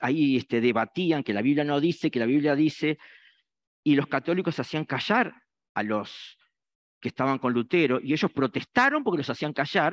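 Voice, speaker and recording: This man talks at a moderate pace with ordinary pitch variation. The sound is dry and close with no echo, over a quiet background. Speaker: preacher. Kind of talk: sermon. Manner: halting, many fillers.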